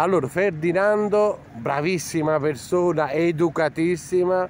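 Against light background noise in a dry sound with no echo, a man with a high voice speaks very slowly with ordinary pitch variation. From southern Italy. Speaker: vlogger interviewing emigrants. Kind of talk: casual street interview. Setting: outdoors in a park. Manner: animated. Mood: cheerful, warm. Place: open country. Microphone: phone near.

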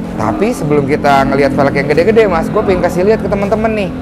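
A man talking at a very fast pace with music in the background. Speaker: channel host presenting a shop. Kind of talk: casual vlog chat. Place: shop. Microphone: lapel.

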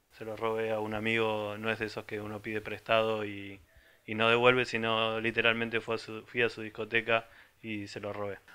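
The man's intonation is monotone and flat, at a fairly quick pace. His loudness swings widely. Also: medium pitch for a man. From Argentina, small town in the interior. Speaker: music site contributor; presenter. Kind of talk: casual record presentation. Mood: humorous, relaxed. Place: home room. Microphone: handheld.

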